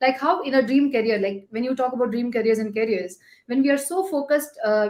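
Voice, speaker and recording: A woman with a Gujarati accent at a fairly quick pace, on a very clean recording with a silent background. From India, Chennai. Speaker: sales professional. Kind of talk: casual chat.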